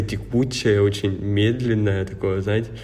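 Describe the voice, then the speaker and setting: A man speaks at a moderate pace in a fairly low, flat monotone, with audible room echo. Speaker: podcast co-host. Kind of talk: casual chat.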